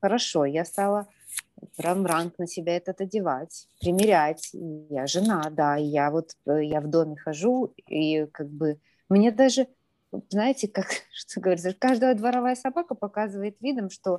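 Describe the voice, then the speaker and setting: A woman's dark, mellow voice at a fairly slow pace, with lively intonation and a dry, close sound with no echo. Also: medium pitch for a woman. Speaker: participant asking advice. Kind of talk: personal consultation. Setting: video call.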